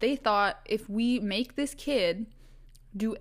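A woman with a western Canadian accent speaks in an animated tone with ordinary pitch variation. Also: very clean recording, silent background. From Canada, Vancouver Island, British Columbia. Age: 20s. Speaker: podcast host. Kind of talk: casual storytelling monologue. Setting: solo recording at a microphone. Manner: animated, laughing often.

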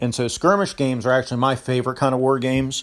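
A man talks at a fairly quick pace and medium pitch in a plain, everyday voice. His intonation stays fairly even. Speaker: caller, fellow gaming podcaster. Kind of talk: voicemail call-in.

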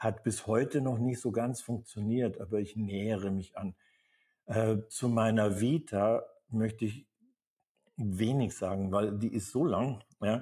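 A man's somewhat breathy, dark, mellow voice at medium pitch, fairly slow pace and long, frequent pauses. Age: 70s. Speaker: acting coach. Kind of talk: live seminar talk. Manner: animated.

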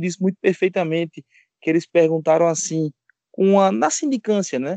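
A man in a Pernambuco accent with a high pitch, in a dry, close sound with no echo. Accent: Pernambuco northeastern Brazilian. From Pernambuco agreste, Gravatá. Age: 30s. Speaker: podcast co-host, DeMolay senior member. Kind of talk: casual chat.

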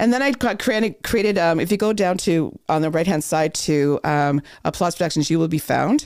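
Speaking at a moderate pace with a Canadian accent, a woman uses an ordinary speaking voice, fairly low in pitch with lively intonation, on a very clean recording with a silent background. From Thunder Bay, northwestern Ontario, Canada. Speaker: voice coach. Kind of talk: casual chat. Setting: studio.

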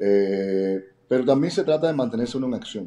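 The man's tone is dark and mellow. His pitch is medium, with ordinary variation. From Cuba. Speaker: network marketing entrepreneur. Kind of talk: interview. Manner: halting, frequent word repetitions.

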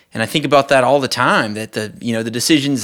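A man with a Southern US accent. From US South, South Mississippi. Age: 30s. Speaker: pastor. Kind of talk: testimony. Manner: halting, many repeated words.

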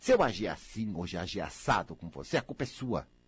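A man speaks at a fairly slow pace with vocal fry. His tone is animated, and his pitch swings very widely. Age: 60s. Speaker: radio host. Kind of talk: radio monologue. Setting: radio studio.

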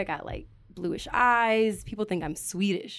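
With a Richmond accent, a woman speaks at medium pitch and a moderate pace, using ordinary pitch variation. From Richmond, Virginia, US South. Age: 20s. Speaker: community organizer. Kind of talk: casual interview chat.

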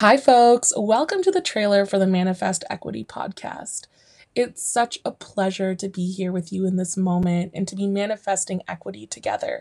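A woman at a medium pitch speaks at a moderate pace in a dry, close sound with no echo. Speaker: teacher and podcast host. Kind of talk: podcast trailer. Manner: put-on polished podcaster voice.

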